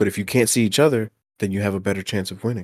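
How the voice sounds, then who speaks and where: A man speaks in a normal speaking voice, fairly low with ordinary pitch variation. The sound is dry and close with no echo, on a very clean recording with a silent background. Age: 20s. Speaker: gamer guest. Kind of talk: casual chat.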